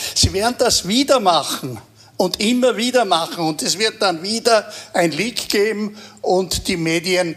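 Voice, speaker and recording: There is noticeable background noise as a man speaks. He goes at a fairly slow pace with ordinary pitch variation. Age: 80s+. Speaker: veteran political journalist. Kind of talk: live panel discussion.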